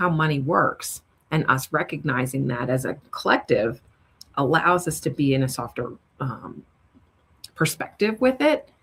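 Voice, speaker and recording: A woman's very deep, low voice with a slight New York accent. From New York City. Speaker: money strategist. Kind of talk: interview conversation.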